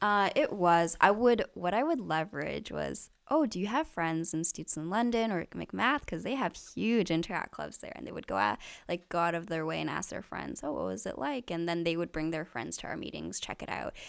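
A woman at a fairly quick pace with hardly any pauses, on a very clean recording with a silent background. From Canada, Richmond, British Columbia. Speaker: youth nonprofit leader. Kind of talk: interview.

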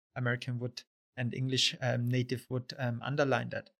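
A man speaks at a medium pitch with a German accent. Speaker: podcast host. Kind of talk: podcast interview. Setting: in-person recording.

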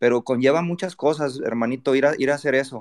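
A man speaks at medium pitch with a Mexican accent and ordinary pitch variation. His pace is fairly quick. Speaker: football fan panelist. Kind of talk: casual chat. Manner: animated.

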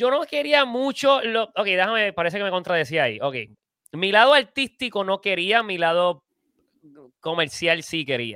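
A man's high, bright, sharp voice, raised and projected, with very wide pitch swings, big swings in loudness, and a dry, close sound with no echo. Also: moderate pace. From Puerto Rico. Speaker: filmmaker. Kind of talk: casual interview.

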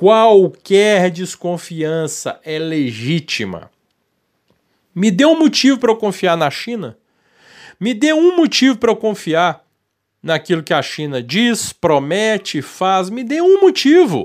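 On a very clean recording with a silent background, a man with a high pitch speaks at a very slow pace, his voice making very wide pitch swings. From Brazil, Minas Gerais. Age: 40s. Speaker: political commentator. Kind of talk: opinion commentary monologue. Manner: heated, animated.

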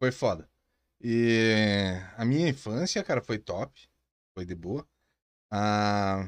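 A man's fairly low voice with ordinary pitch variation, a very slow pace, long and frequent pauses, and a quiet background. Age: 30s. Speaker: entrepreneur. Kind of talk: casual chat.

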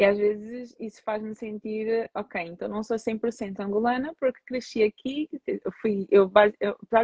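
A woman talks at a fairly slow pace in a fairly high, somewhat breathy voice with fairly even intonation. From Portugal, of Angolan parents. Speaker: psychologist. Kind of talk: casual interview on a social media live stream. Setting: social media live video stream.

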